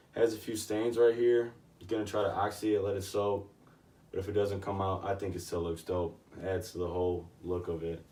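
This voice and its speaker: Talking fairly quickly, a man has a dark, mellow, somewhat breathy tone, a fairly low pitch and fairly even intonation. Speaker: vintage clothing reseller. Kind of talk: casual show-and-tell vlog. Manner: casual, filler-heavy.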